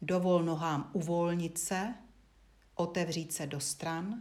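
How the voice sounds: The tone is slightly mellow, with fairly even intonation throughout. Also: woman, fairly low pitch for a woman.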